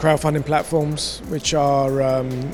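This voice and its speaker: A man with a fairly high pitch speaks very slowly in a flat, monotone way over noticeable background noise. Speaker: finance executive at a blockchain conference. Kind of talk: interview. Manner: hesitant, many fillers.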